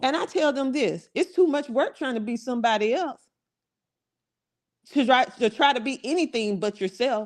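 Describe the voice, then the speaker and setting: A woman with an American accent speaks in a high voice, her tone animated and her intonation lively, at a moderate pace with long, frequent pauses. The background is quiet. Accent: country twang. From US South, South Carolina. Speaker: motivational podcast host and business coach. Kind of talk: motivational talk. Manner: animated, conversational.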